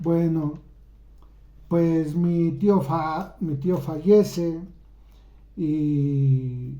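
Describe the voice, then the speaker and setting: With fairly even intonation and a dark, mellow tone, a man speaks at a fairly high pitch amid audible room echo. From Mexico. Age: 60s. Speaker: YouTuber. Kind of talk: personal storytelling. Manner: halting.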